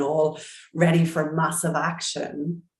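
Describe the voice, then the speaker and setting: Audible room echo surrounds a woman whose very deep, low voice moves at a moderate pace. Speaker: business coach. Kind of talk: group coaching call. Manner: calm.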